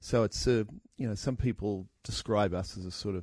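A man's fairly low voice with an Australian accent and fairly even intonation at a moderate pace, dry and close with no echo, in a very clean recording with a silent background. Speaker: startup co-founder. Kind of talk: interview. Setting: studio.

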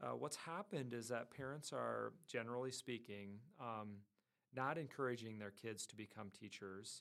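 With an American accent, a man speaks at a moderate pace in an unremarkable speaking voice, medium in pitch with ordinary pitch variation. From northwest Iowa, US Midwest. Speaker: education dean. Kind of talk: interview.

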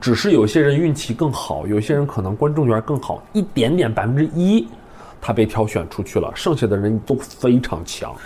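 This man has a dark, mellow tone at a medium pitch, somewhat breathy, with very wide pitch swings and a moderate pace. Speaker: improv comedian and teacher. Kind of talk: casual chat.

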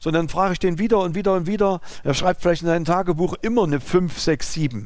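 Talking at a very fast pace, a man uses a high pitch that varies in an ordinary way. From East Germany (former GDR). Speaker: business owner, driving school. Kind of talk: interview conversation. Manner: halting.

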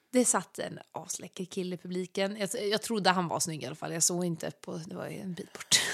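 A woman's medium-pitched voice with vocal fry, ordinary pitch variation and big swings in loudness, at a fairly quick pace with hardly any pauses, on a very clean recording with a silent background. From Småland, Sweden. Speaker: singer and podcast co-host. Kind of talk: casual chat. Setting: at a friend's home.

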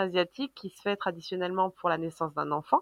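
On a very clean recording with a silent background and a dry, close sound with no echo, a woman speaks in a bright, sharp tone. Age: 30s. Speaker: business founder. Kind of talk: casual interview.

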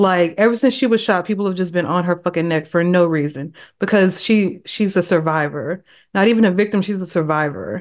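A woman's fairly low-pitched voice, an ordinary speaking voice, at a fairly quick pace with ordinary pitch variation against a quiet background. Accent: American. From Texas. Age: 30s. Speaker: hip hop journalist and author. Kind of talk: casual interview chat.

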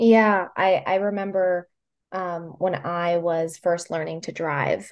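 At a fairly slow pace, an unremarkable speaking voice delivers fairly even intonation. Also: woman. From Puerto Rico, moved to mainland US at about thirteen. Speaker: transit advocate speaker for caregivers. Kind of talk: casual interview chat.

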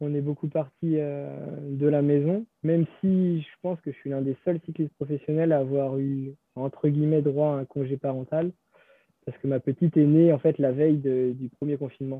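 The man's pitch is fairly high. He talks at a moderate pace with fairly even intonation. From western France, Savenay. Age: 20s. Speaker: professional cyclist. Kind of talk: interview. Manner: halting, many repetitions.

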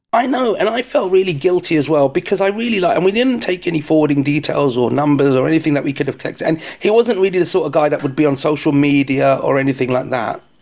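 A man with a London accent talks at a very fast pace with hardly any pauses, his fairly high voice rising and falling in a lively way. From London, England. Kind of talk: casual chat. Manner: joking, banter.

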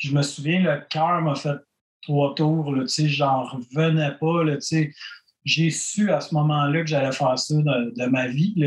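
Speaking at a very slow pace in a Quebec accent, a man with a fairly high voice keeps his loudness very even and his pitch variation ordinary. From Quebec, Granby. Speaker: punk rock musician. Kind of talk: casual interview.

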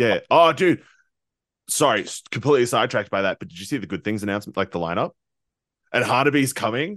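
A man with an Australian accent talks at a very fast pace in a medium pitch, with very wide pitch swings, big swings in loudness, and long, frequent pauses. The sound is dry and close with no echo, over a quiet background. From Queensland, Australia. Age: 20s. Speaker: metal band musician. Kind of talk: casual interview.

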